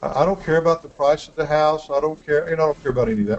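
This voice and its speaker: A man speaks with a Texan accent and a fairly high pitch. His pitch varies in an ordinary way. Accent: slow Texan. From West Texas. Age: 50s. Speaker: real estate investing coach. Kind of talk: online coaching webinar.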